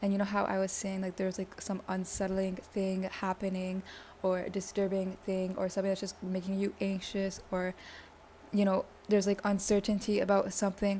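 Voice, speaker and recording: A woman talks at a fairly quick pace in a medium pitch, her dark, mellow tone somewhat breathy. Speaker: tarot reader. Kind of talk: pick a card tarot reading. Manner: fast; animated.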